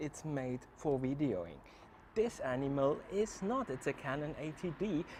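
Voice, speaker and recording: A man with a German accent, fairly high in pitch, at a moderate pace with very wide pitch swings. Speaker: travel vlogger. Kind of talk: casual vlog.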